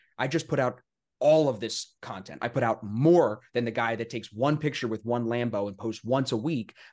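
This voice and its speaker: In a plain, everyday voice, a man speaks at a moderate pace with a medium pitch and ordinary pitch variation over a quiet background. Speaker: podcast host. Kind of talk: casual interview.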